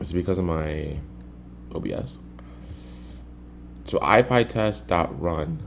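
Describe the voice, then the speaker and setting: Using a very deep, low pitch with vocal fry, a man speaks at a fairly slow pace with lively intonation and long, frequent pauses. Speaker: programmer recording coding session. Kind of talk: live coding tutorial.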